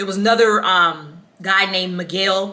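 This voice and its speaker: Medium pitch from a woman in a monotone, flat intonation, over noticeable background noise. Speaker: book reviewer. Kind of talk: casual book review vlog. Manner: casual, filler-heavy with ums.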